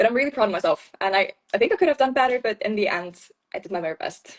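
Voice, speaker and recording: A woman speaks with an Icelandic accent. The sound is dry and close, with no echo. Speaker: beauty pageant winner. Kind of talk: interview.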